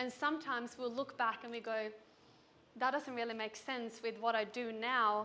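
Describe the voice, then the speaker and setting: With a Swedish accent, a woman speaks at a moderate pace in a flat monotone, her fairly high voice bright and sharp. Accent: Swedish, noticeable. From Sweden. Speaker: business coach. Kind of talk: keynote speech. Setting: stage with audience.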